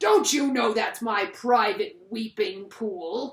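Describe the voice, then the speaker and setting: In a put-on character voice, the speaker growls at a fairly high pitch and a very slow pace. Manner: angry, indignant.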